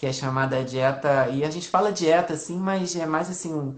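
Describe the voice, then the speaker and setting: It's an unremarkable speaking voice from a man, fairly high in pitch. He goes at a fairly quick pace with ordinary pitch variation. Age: 40s. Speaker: family doctor. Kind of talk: health Q&A interview. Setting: Instagram live video call.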